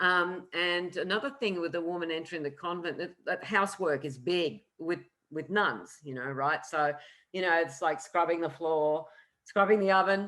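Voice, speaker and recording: On a very clean recording with a silent background, a woman speaks with an Australian accent. Her fairly low voice has a bright, sharp tone and ordinary pitch variation. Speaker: astrologer. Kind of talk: lecture. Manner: fast.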